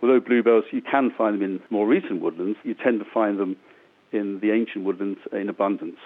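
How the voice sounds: The speaker has a plain, everyday voice and uses fairly even intonation. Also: man, fairly low pitch for a man, fairly quick pace.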